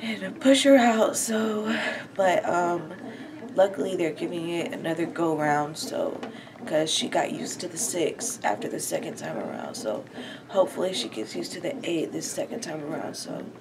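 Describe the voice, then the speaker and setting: A woman talks at a moderate pace. Noticeable background noise can be heard. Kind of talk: casual vlog chat. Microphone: phone near.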